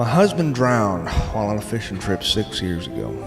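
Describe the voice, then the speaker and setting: Music plays in the background. A man talks with an American accent. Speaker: storyteller, columnist. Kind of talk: podcast reading listener letters.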